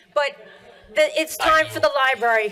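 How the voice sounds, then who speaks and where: A woman's raised, projected voice in a Philadelphia accent, with noticeable background noise. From US Northeast, Pennsylvania. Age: 50s. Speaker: public commenter. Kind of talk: public comment. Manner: animated.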